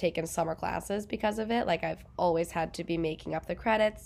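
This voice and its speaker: A woman's fairly low voice with vocal fry and fairly even intonation, in a very clean recording with a silent background. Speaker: podcast co-host, chronic illness patient. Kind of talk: casual chat.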